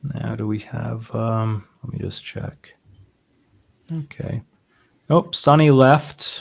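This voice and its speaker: A man with an American accent talks very slowly in a medium, somewhat breathy voice, with ordinary pitch variation and long, frequent pauses. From Boston, US. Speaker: trading simulator developer and stream host. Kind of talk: casual chat.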